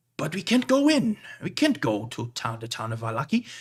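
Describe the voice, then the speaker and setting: A man puts on a character voice, fairly high in pitch and with very wide pitch swings. The recording is very clean with a silent background. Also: fairly quick pace. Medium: actual play. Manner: gruff, blustering.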